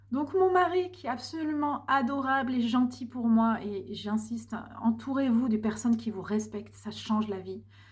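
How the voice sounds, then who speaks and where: A woman has an ordinary speaking voice, fairly high in pitch. She talks at a moderate pace with lively intonation. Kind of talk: personal vlog monologue.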